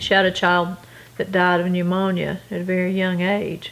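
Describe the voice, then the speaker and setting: A woman speaks in a North Carolina accent. Her pace is fairly slow and her pitch is medium. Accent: US Southern (North Carolina). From North Carolina, Gastonia. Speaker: oral history interviewee. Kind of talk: interview.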